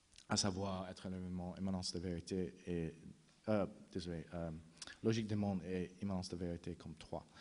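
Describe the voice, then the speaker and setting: A man with a non-native accent speaks at a fairly quick pace in a very deep, low, dark and mellow voice, his intonation monotone and flat, with long, frequent pauses. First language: not French (speaking French). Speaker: philosopher, conference speaker. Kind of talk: conference talk. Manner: halting, frequent restarts and fillers.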